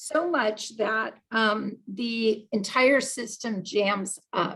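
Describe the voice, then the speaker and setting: Speaking at a very slow pace, a woman with a fairly high pitch shows ordinary pitch variation. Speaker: agile coach and conference speaker. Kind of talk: conference talk. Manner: halting, many fillers.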